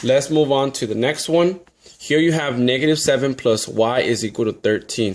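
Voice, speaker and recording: A plain, everyday voice from a man, pitched fairly high, with ordinary pitch variation and a moderate pace. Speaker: math teacher. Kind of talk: tutorial.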